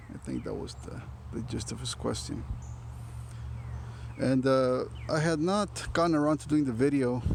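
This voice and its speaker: Amid audible room echo, a man speaks at a moderate pace with long, frequent pauses and big swings in loudness. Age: 40s. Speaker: small landowner and farmer vlogger. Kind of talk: casual vlog monologue. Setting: outdoors on farmland. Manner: halting, many fillers and repetitions.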